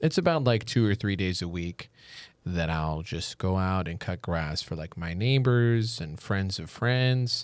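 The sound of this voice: Very deep, low-pitched male voice with lively intonation at a fairly slow pace, in a very clean recording with a silent background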